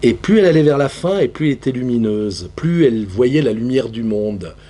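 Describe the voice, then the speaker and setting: His intonation lively, a man speaks at a moderate pace. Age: 60s. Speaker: theatre practitioner. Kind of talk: panel discussion. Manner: halting.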